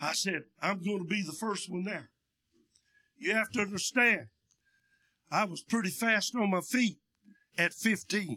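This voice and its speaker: With an East Tennessee accent, a man raises and projects his high-pitched voice in a bright, sharp tone, moving at a fairly slow pace with long, frequent pauses. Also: ordinary pitch variation. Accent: Southern US (East Tennessee). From East Tennessee, Union County. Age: 70s. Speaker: pastor, missionary. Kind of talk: sermon. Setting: church with PA system. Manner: loud.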